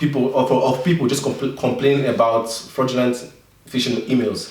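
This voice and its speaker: A man's voice comes with audible room echo. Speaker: tech YouTuber. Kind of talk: tutorial. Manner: halting.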